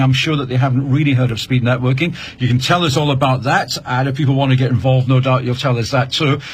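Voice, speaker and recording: This man talks at a very fast pace with a medium pitch. Noticeable background noise runs underneath. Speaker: radio presenter. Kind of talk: live radio show hosting. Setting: studio.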